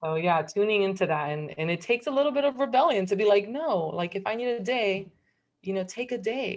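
A woman with a medium pitch talks at a fairly quick pace with lively intonation in a plain, everyday voice. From Miami, Cuban-American family. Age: 30s. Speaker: nutritional therapy practitioner. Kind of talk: casual chat.

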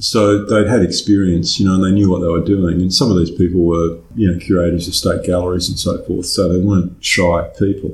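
An Australian accent marks this man's very deep, low voice, delivered at a fairly quick pace with hardly any pauses. His intonation is fairly even, and audible room echo surrounds it. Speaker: conceptual artist. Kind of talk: interview. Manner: halting.

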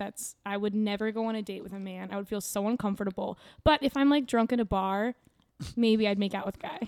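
With an American accent and a normal speaking voice, a woman talks at a fairly quick pace with fairly even intonation, the sound dry and close with no echo. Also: fairly high pitch for a woman. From Kansas, Topeka. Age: 20s. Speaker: comedian. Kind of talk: casual chat. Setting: studio.

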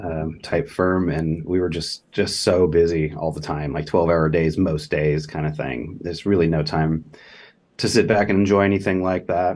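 A man's very deep, low voice in a Californian accent, fairly even in intonation, at a moderate pace over a quiet background. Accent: General American (Californian). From Southern California, Los Angeles. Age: 40s. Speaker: law professor. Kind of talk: casual interview.

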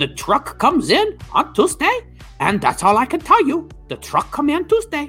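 Clear music plays in the background as a put-on character voice speaks at a high pitch and a moderate pace. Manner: curt, dismissive.

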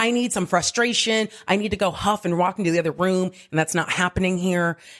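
A woman's fairly low voice with ordinary pitch variation, on a very clean recording with a silent background. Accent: West Coast. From Southern California (Diamond Bar). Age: 40s. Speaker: comedian and writer. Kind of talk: casual chat. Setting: on holiday.

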